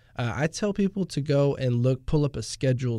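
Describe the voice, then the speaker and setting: The voice has a dark, mellow tone and speaks with an American accent. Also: man. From Houston area, Texas. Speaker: tax advisor. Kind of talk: casual interview. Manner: halting, many fillers.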